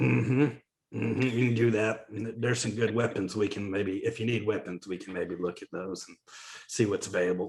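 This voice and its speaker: In a put-on character voice, a man speaks softly and raspily at a fairly quick pace, his fairly low pitch showing ordinary variation. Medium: actual play. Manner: murmuring "mm-hmm" repeatedly.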